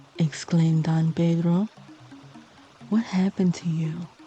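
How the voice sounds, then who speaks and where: A woman speaks very slowly in a calm tone at a fairly low pitch. Music plays in the background. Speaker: sleep story narrator. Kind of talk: sleep story narration. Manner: slow, calm.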